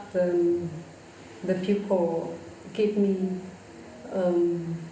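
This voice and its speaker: A woman with a Vietnamese accent, fairly low pitch and monotone, flat intonation, amid audible room echo and noticeable background noise. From northern Vietnam, Laos border area. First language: Thai ethnic minority language or Vietnamese. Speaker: composer. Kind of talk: interview. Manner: slow; halting.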